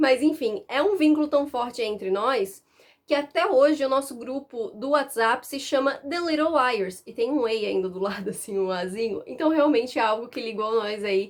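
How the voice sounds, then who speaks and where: A high-pitched woman's voice with lively intonation at a moderate pace. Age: 20s. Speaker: book YouTuber. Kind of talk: casual chat.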